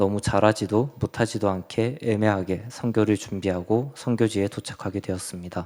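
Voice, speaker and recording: A man with a fairly low pitch uses an ordinary speaking voice, talking at a moderate pace with fairly even intonation. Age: 20s. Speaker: church youth member giving mission report. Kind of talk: testimony. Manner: reading from prepared text.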